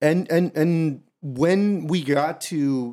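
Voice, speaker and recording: In a very clean recording with a silent background, a man with a fairly high pitch and a dark, mellow tone speaks with ordinary pitch variation. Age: 20s. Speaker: podcast host, former Marine. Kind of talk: casual chat.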